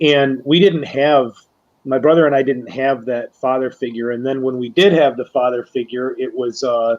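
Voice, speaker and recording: With an ordinary speaking voice, this man sits at a medium pitch, keeping fairly even intonation and a moderate speed. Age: 40s. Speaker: round-table guest. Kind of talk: casual chat.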